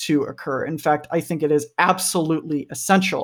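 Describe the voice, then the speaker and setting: In an American accent, a man speaks at a moderate pace on a very clean recording with a silent background. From US, Kentucky. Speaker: product designer. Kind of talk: interview.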